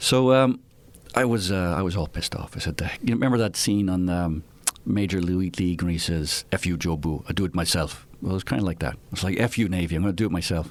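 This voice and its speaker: A man with an Irish accent, very deep and low in pitch, very fast, with ordinary pitch variation. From Ireland (Dublin). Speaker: retired naval aviator. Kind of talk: casual interview chat.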